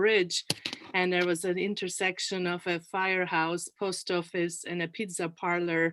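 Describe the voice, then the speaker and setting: A woman with a Turkish accent speaks over noticeable background noise. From Turkey, Ankara. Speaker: panel guest, community leader. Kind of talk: panel interview.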